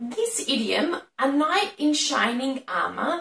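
A woman speaks very slowly in an Australian accent, her pitch high. Her intonation is lively, and the room echo is audible. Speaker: English teacher. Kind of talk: educational lesson to camera. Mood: friendly, smiling.

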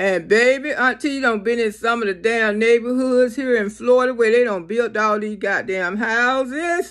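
A woman is speaking at a moderate pace. The background is quiet. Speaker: comedic vlogger. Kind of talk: casual vlog chat. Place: home room. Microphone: phone near.

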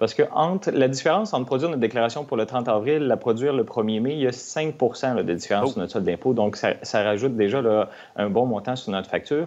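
Ordinary pitch variation in very fast speech, with hardly any pauses. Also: man, medium pitch for a man. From Quebec. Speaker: tax expert; guest. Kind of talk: TV interview explaining finances.

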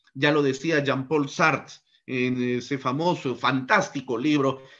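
A man talks at a fairly high pitch and a fairly slow pace. The background is quiet. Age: 40s. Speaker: law professor. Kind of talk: lecture. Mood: critical, argumentative. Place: home room.

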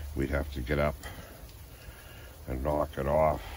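At a moderate pace, a man with a very deep, low voice speaks in a monotone, flat way, with light background noise and a dry sound with no echo. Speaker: camping vlogger. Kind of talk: casual vlog chat. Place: tent. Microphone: phone near.

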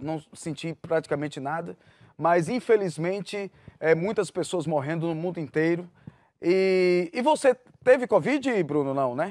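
The speaker uses lively intonation at a moderate pace, in a dry, close sound with no echo on a very clean recording with a silent background. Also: man. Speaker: TV news host. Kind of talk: live interview. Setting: studio.

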